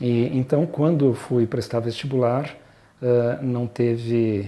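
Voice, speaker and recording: Fairly even intonation and a dark, mellow tone shape this man's speech. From southern Brazil (Rio Grande do Sul, Porto Alegre) then São Paulo. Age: 60s. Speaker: pediatrician and mountain guide. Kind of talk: personal life story interview. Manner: hesitant, with many fillers and repetitions.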